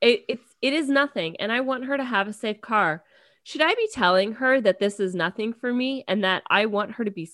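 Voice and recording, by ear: The speaker is reading aloud. It comes across in a natural voice.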